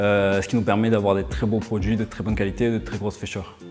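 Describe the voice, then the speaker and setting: Over background music, a man talks at a fairly quick pace in a fairly low pitch with fairly even intonation. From Provence, southern France (Pertuis). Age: 30s. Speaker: chef and restaurant owner. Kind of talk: career interview testimony. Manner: hesitant, with fillers.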